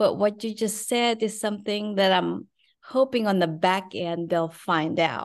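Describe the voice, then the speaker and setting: Speaking at a fairly slow pace with an American accent, this voice shows ordinary pitch variation against a quiet background. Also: woman, medium pitch for a woman. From Philippines. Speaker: physical therapist and luxury resale entrepreneur. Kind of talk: casual interview chat.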